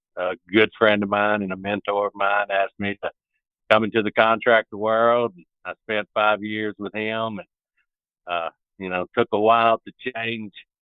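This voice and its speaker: A man speaks with a Southern US accent. His fairly low pitch stays monotone, with flat intonation. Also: moderate pace. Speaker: broadband construction executive. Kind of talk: interview. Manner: halting.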